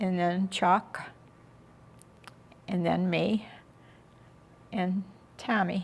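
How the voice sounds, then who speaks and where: Very slowly and with long, frequent pauses, a woman with an Inland North American accent speaks in a monotone, flat intonation at medium pitch, somewhat breathy. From western New York. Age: 80s+. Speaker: interviewee recounting family history. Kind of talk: oral history interview. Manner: halting.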